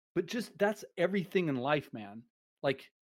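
This is a man speaking. His intonation is lively. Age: 40s. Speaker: streaming platform staff member. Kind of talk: casual interview. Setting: live stream.

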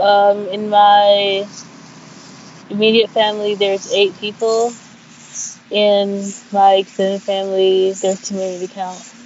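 Amid noticeable background noise, a woman speaks at a medium pitch and a fairly slow pace, with monotone, flat intonation and long, frequent pauses. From Sudan, moved to US at six. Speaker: community college student. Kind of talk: personal testimony. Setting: outdoors on campus, call.

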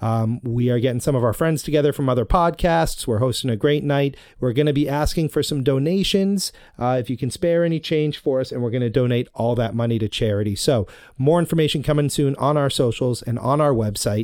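The recording is very clean, with a silent background. A man uses a normal speaking voice at medium pitch, fairly quick, with ordinary pitch variation. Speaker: podcast host. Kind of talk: casual chat, intro.

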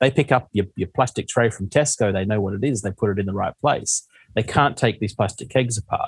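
A man talks in a fairly low, somewhat breathy voice. The sound is dry and close, with no echo. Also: ordinary pitch variation, fairly quick pace. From Western Australia. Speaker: beer distributor founder. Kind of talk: podcast interview.

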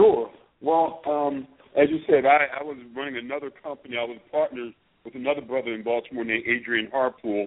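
Speaking with an American accent in an ordinary speaking voice, a man at medium pitch keeps a fairly quick pace and fairly even intonation, with big swings in loudness. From Philadelphia, US. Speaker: media executive. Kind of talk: interview.

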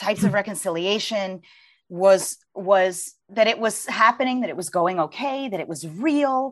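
With an American accent and lively intonation, a woman talks at a moderate pace in an ordinary speaking voice. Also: medium pitch for a woman. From US, Virginia. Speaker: author and journalist. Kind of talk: interview conversation; reading aloud from her book.

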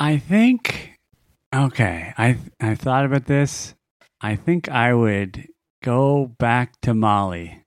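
The voice goes at a very slow pace with ordinary pitch variation and very even loudness. The recording is very clean, with a silent background. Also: man, medium pitch for a man. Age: 40s. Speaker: comedic character guest, extreme traveler. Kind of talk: comedic storytelling.

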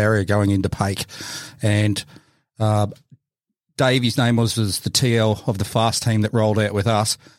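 A man with an Australian accent speaks at a moderate pace in a fairly low pitch with fairly even intonation, the sound dry and close with no echo. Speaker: army veteran co-host. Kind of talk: casual chat.

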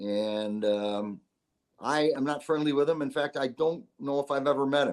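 An American accent marks this man's fairly high voice, which moves at a moderate pace with ordinary pitch variation. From upstate New York, Syracuse. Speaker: comedian and actor. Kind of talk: casual interview. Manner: halting, many fillers.

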